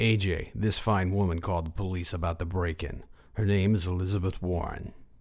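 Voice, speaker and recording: Putting on a character voice, a man speaks very deep and low at a fairly quick pace with fairly even intonation. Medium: audio drama. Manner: polite, formal.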